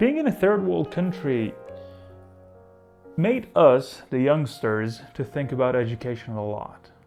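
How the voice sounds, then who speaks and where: Music plays behind a voice whose pitch swings very widely, moving at a fairly slow pace with long, frequent pauses. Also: man, medium pitch for a man. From Iran. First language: Persian. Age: 20s. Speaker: vlogger. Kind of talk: casual talk to camera.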